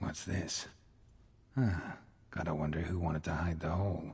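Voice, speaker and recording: A man puts on a character voice with a very deep, low pitch. He moves at a moderate pace. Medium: video game. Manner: terse, clipped, dry.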